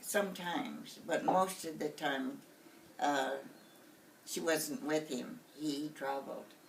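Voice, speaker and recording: Speaking very slowly with an American accent, a woman uses a very deep, low pitch that swings very widely, leaving long, frequent pauses over noticeable background noise. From Warm Springs Reservation, Oregon. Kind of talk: interview answer.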